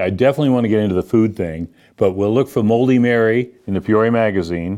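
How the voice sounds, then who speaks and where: Against a quiet background, a man talks at a medium pitch. His tone is dark and mellow. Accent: American. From Boston. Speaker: local interview show host. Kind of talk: casual interview.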